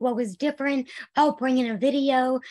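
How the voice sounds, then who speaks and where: Over a quiet background, a woman speaks with a high pitch. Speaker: occupational therapist. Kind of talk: presentation. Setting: online video webinar. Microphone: video call.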